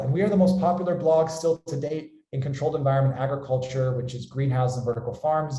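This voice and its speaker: In a room with audible echo, a man with an American accent talks at a very fast pace, somewhat breathy, with a fairly high pitch and a dark, mellow tone. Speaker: company founder and webinar host. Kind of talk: webinar presentation.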